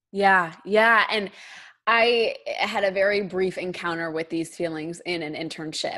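A woman with a normal speaking voice talks at a medium pitch and fairly slow pace, with fairly even intonation, in a very clean recording against a silent background. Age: 20s. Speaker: podcast host and teacher. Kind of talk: casual interview chat.

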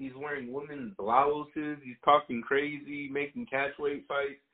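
A man's fairly high voice at a fairly slow pace, an ordinary speaking voice with ordinary pitch variation. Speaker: co-host MMA commentator. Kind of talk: casual chat about MMA, profane.

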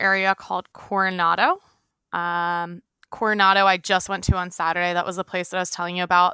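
A woman with an American accent speaks at a medium pitch in a bright, sharp tone with monotone, flat intonation, the sound dry and close with no echo on a very clean recording with a silent background. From Pennsylvania, outside Philadelphia. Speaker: traveler. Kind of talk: casual interview.

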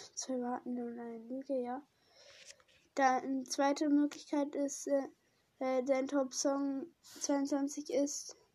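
Very slow and high-pitched, a woman speaks with fairly even intonation and big swings in loudness. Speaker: podcaster. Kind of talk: reading aloud. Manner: halting.

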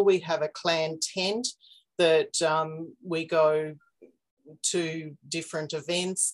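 A woman's fairly low voice in an Australian accent, flat and monotone. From Australia, Victoria. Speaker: magazine editor and genealogy enthusiast. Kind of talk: casual interview.

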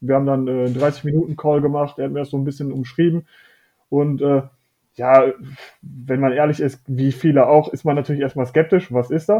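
Intonation stays fairly even as an ordinary speaking voice keeps a moderate pace. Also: man, fairly high pitch for a man. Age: 20s. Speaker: fitness coaching client. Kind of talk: casual interview chat.

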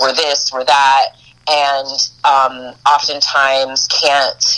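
Through noticeable background noise, a woman speaks at a very deep, low pitch. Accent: American. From US East Coast (Boston and New York). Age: 40s. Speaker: spiritual priestess and life coach. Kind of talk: casual interview chat.

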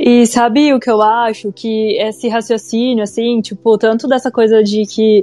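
A woman with a normal speaking voice talks at a fairly slow pace and fairly high pitch. Her intonation is fairly even, with hardly any pauses. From Brazil, interior of São Paulo state. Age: 30s. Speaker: yoga teacher and psychologist. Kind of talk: casual chat.

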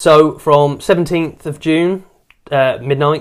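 On a very clean recording with a silent background, a man speaks with a rural English accent. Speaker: podcast co-host. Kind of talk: casual chat. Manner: clear.

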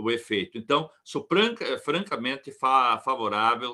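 Against a quiet background, a man speaks with a fairly high pitch, a bright, sharp tone and lively intonation. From southern Brazil, rural Rio Grande do Sul. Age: 60s. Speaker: plant physiology professor and consultant. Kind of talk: expert interview on a livestream. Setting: online livestream.

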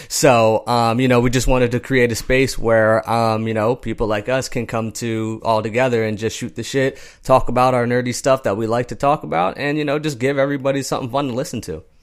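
With a normal speaking voice, a man talks at a fairly quick pace and medium pitch, his intonation fairly even and with hardly any pauses. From Pennsylvania, US. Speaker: podcast co-host. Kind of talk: casual chat.

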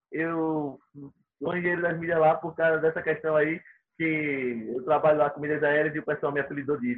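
With a fairly high pitch, the man uses an unremarkable speaking voice at a moderate pace. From Sergipe, Brazil. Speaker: miles reseller and former course student. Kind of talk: casual interview chat.

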